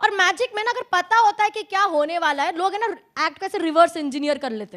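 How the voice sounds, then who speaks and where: With an extremely high pitch and a playful tone, a woman's lively intonation comes with big swings in loudness. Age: 20s. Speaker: magician and mentalist. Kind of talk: live stage show patter with audience. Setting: live stage with audience. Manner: playful, chatty.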